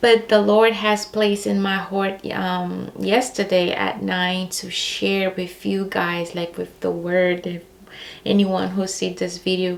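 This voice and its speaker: Someone speaks with a Brazilian accent at a fairly slow pace. Background noise is noticeable. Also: woman. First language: Portuguese. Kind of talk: personal faith testimony. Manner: hesitant, many fillers.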